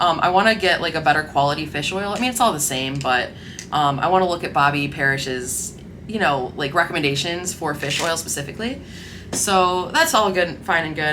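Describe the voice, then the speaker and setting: A woman with a fairly low pitch speaks at a moderate pace with lively intonation, amid audible room echo and noticeable background noise. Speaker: lifestyle vlogger. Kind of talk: casual vlog talk. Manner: stumbling over words; casual, filler-heavy.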